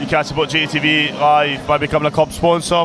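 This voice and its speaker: With noticeable background noise behind him, a man speaks at a moderate pace and a fairly high pitch. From Scottish East Coast. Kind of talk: sports broadcast commentary. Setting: livestream broadcast.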